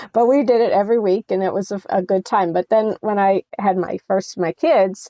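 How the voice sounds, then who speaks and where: At a moderate pace, a woman speaks with an American accent. She has an unremarkable speaking voice with ordinary pitch variation. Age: 60s. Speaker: senior athlete and nonprofit president. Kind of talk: interview.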